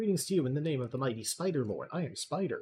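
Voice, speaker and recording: Shrill and very fast, a man delivers a put-on character voice at a fairly high pitch. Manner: trying to sound solemn.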